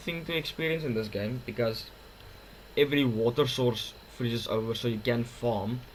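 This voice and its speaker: A somewhat breathy man with a non-native accent and ordinary pitch variation. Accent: awkward-sounding non-native English. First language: not English. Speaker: gaming youtuber. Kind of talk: gameplay commentary. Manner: halting, with fillers and restarts.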